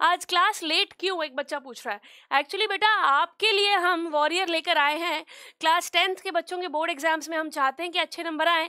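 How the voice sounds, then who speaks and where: Against a quiet background, a woman's raised, projected voice carries a bright, sharp tone and ordinary pitch variation. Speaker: online teacher. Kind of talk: lecture. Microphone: headset.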